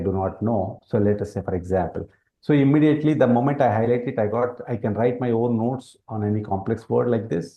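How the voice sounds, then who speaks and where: His voice carries a somewhat breathy quality. The man's pitch rises and falls in an ordinary way. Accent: Telugu. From India, Telangana. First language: Telugu. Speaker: educational product presenter. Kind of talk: product demonstration. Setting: webinar.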